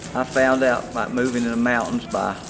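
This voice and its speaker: With music in the background and audible room echo, a man speaks at a fairly slow pace with fairly even intonation. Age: 70s. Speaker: clogging class participant. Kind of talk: testimonial interview.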